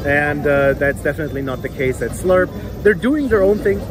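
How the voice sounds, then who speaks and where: Clear music plays in the background. A man speaks with a dry sound and no echo. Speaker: food vlogger. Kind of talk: casual vlog review. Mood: mildly disappointed. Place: street. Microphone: phone near.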